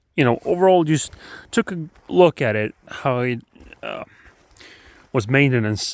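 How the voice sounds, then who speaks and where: A man talks with a Swedish accent. The sound is dry and close, with no echo. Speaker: motorbike hobbyist vlogger. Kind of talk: casual vlog. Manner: halting with many fillers.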